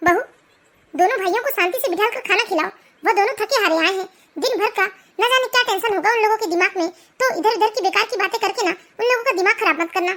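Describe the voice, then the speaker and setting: A woman's squeaky, cartoonish character voice, extremely high in pitch, at a very fast pace. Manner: firm, admonishing.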